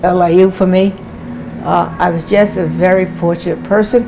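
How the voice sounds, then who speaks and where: Over noticeable background noise, a woman with an American accent speaks at a medium pitch and moderate pace in a monotone, flat intonation. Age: 80s+. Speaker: professor. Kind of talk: interview testimony.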